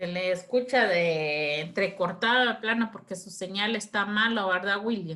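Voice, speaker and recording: Her tone is bright and sharp, her pitch medium for a woman, with ordinary variation. She talks at a fairly slow pace with hardly any pauses. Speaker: law lecturer. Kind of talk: lecture.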